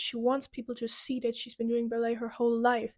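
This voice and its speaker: Someone with a non-native accent speaks at a very fast pace in an animated tone. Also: woman, very clean recording, silent background. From Europe. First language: not English. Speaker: YouTuber, pop music commentator. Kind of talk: video essay monologue. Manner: casual, animated.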